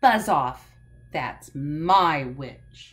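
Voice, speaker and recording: In a put-on character voice, a woman growls and croaks at a very deep, low pitch. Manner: menacing, threatening.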